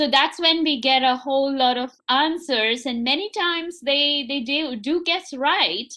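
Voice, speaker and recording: A woman's raised, projected voice, high-pitched with a bright, sharp tone, at a fairly slow pace with hardly any pauses. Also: ordinary pitch variation. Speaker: college teacher. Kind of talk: panel discussion.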